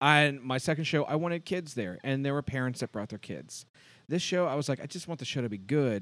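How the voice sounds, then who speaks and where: The speaker has an American accent and a fairly quick pace with lively intonation. The recording is very clean, with a silent background. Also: man. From US Midwest, Cincinnati. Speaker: actor and theatre producer. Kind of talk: interview.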